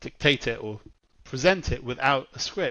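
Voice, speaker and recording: A medium-pitched man with a British accent at a moderate pace. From England. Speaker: marketing executive. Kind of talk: podcast interview. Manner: conversational, with fillers.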